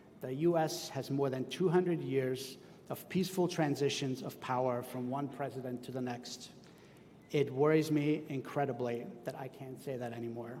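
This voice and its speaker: Noticeable background noise runs through the clip. A man speaks with a German accent and fairly even intonation. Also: medium pitch for a man, moderate pace. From Austria. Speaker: school superintendent. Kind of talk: commencement speech. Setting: outdoor tent with audience.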